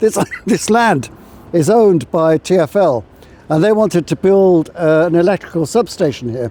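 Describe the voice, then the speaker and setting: A man with a high pitch and ordinary pitch variation talks at a moderate pace, noticeable background noise around him. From Ireland, later England. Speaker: history tour guide. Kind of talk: walking tour talk. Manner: halting, many fillers.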